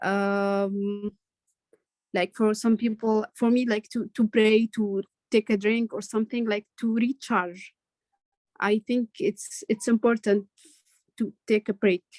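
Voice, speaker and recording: With an Arabic accent, a woman speaks at a very slow pace with long, frequent pauses, her fairly high pitch held in fairly even intonation, in a dry, close sound with no echo. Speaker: student in online leadership program. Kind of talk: feedback in video call class. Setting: video call. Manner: halting, many fillers.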